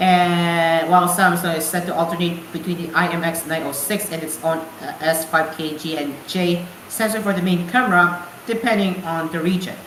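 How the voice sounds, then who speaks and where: A woman speaks at a moderate pace with a fairly low pitch and fairly even intonation. The recording has audible room echo and noticeable background noise. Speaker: radio show host. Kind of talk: casual radio show talk; news reading. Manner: halting, self-correcting.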